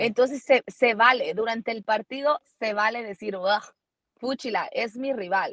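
A woman at a fairly high pitch with fairly even intonation and a moderate pace, an unremarkable speaking voice, in a dry, close sound with no echo. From United States. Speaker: NFL analyst and sports reporter. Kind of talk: interview.

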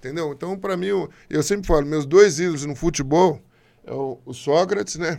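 On a very clean recording with a silent background, a man with a plain, everyday voice speaks at a moderate pace in a fairly high pitch, with ordinary pitch variation and big swings in loudness. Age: 50s. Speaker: former footballer. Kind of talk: interview.

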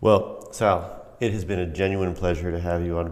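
A man with an American accent, very deep and low in pitch, monotone and flat in intonation, at a fairly quick pace. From US, Irish American family. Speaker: podcast host. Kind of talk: casual interview.

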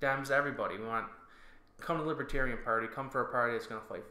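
Speaking very fast with an American accent, a man holds a medium pitch amid audible room echo. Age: 20s. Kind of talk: casual interview.

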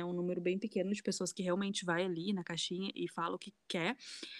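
A woman with a southern Brazilian accent talks at a fairly quick pace with fairly even intonation, the sound dry and close with no echo. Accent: Porto Alegre (gaúcho). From southern Brazil, Porto Alegre. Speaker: museum educator and social media creator. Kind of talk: casual interview.

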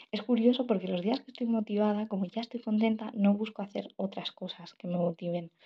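A woman talks at a fairly quick pace with hardly any pauses, her fairly high pitch held in fairly even intonation while her loudness swings widely and her voice sounds somewhat breathy. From Spain, La Rioja. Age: 18. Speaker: journalism student podcaster. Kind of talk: personal monologue podcast.

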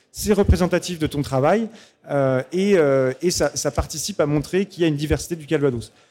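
A man talks at a moderate pace. His voice is fairly high, with ordinary pitch variation. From Normandy, Pays de Caux. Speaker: calvados producer. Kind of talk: stage interview. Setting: festival stage with audience. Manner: hesitant, many repetitions.

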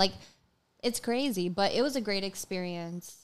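A woman's normal speaking voice at medium pitch, with an American accent, on a very clean recording with a silent background. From New York City. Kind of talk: casual chat.

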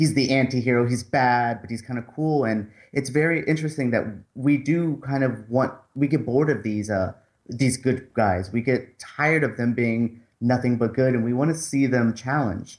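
In a normal speaking voice, a man talks at a moderate pace with a medium pitch and ordinary pitch variation against a quiet background. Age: 20s. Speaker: movie critic and co-host. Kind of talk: casual chat.

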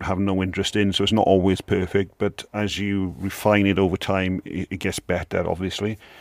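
In a British accent, a man with a fairly low pitch talks at a moderate pace in a flat monotone, on a very clean recording with a silent background. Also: hardly any pauses. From UK. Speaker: podcaster and tech blogger. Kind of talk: casual monologue. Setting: home office. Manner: unscripted, with stumbles.

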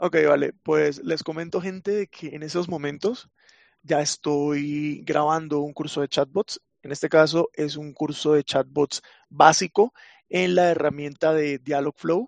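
This man has an ordinary speaking voice with a fairly high pitch and ordinary pitch variation. He talks at a fairly slow pace over a quiet background. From Venezuela. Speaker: chatbot developer. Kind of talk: casual interview chat.

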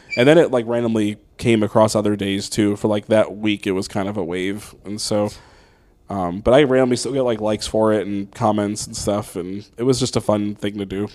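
A man's normal speaking voice, fairly low in pitch, with fairly even intonation at a fairly quick pace. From upstate New York (Niagara Falls, Buffalo). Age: 30s. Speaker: comedian. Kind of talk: casual chat. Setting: host's apartment.

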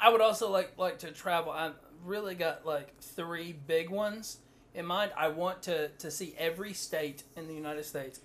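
The man's high voice moves at a moderate pace, its pitch varying in an ordinary way. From US South. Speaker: podcast co-host. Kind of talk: casual chat.

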